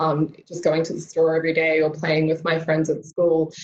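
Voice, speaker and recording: A woman speaks in a fairly low voice. She has an Australian accent. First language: Tamil. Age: 20s. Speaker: mental health advocate. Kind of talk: keynote talk. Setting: video call.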